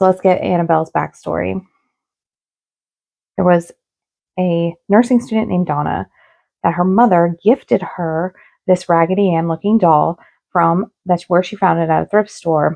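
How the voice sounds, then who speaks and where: A woman with a dark, mellow tone and fairly low pitch speaks at a moderate pace, with ordinary pitch variation. The sound is dry and close with no echo, and she leaves long, frequent pauses. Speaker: paranormal storyteller. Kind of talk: casual talk to camera.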